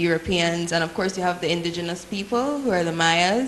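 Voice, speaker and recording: A woman with a Belizean accent and a fairly low pitch, over noticeable background noise. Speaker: singer. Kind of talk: interview.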